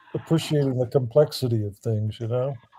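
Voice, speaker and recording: With an American accent, a man speaks in a somewhat breathy voice with a dark, mellow tone. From US South, Alabama. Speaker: livestream caller. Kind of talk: casual chat.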